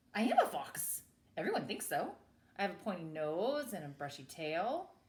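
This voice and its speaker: A woman puts on a character voice, pitched in the medium range and delivered at a moderate pace. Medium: read story.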